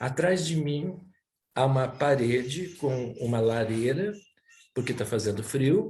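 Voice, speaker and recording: A man's medium-pitched, dark and mellow voice, somewhat breathy, with lively intonation, a very slow pace, long and frequent pauses, and audible room echo. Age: 70s. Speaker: cultural center director, interviewer. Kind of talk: interview introduction. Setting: at home, by a fireplace. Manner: hesitant, with filler sounds.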